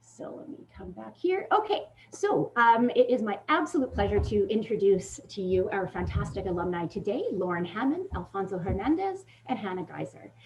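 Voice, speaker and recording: A woman speaks at a moderate pace, her loudness swinging widely. Noticeable background noise runs under her voice. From Ontario, Canada. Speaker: career services manager. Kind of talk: info session moderation.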